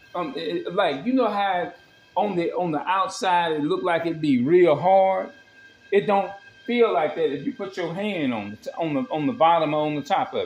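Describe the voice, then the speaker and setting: A man talks at a moderate pace and high pitch. Faint music sits in the background, and room echo is audible. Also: lively intonation. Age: 40s. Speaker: home cooking vlogger. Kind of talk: casual cooking vlog. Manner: halting. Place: kitchen. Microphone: phone near.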